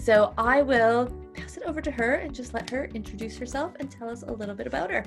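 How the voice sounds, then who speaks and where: Music plays in the background while a woman talks at a very fast pace. Her loudness swings widely. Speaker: podcast host. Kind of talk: podcast interview conversation.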